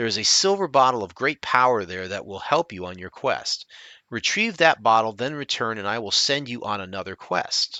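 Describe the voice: The recording is plain reading aloud.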